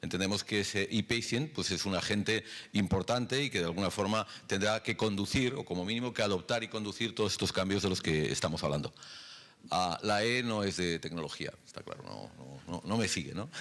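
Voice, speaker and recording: In an ordinary speaking voice, a man talks at a fairly quick pace with a fairly low pitch and ordinary pitch variation. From Europe. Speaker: health startup executive; conference speaker. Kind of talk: conference presentation. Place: hall. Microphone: handheld.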